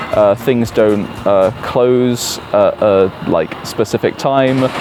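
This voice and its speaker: A man with a British accent talks at a medium pitch with ordinary pitch variation. There is noticeable background noise. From UK. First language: Italian. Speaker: English teacher. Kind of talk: interview answers. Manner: hesitant, many fillers.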